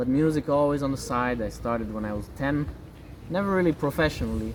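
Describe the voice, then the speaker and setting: A man speaks in a Romanian accent. His intonation is lively. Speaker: pianist and games programmer. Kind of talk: interview.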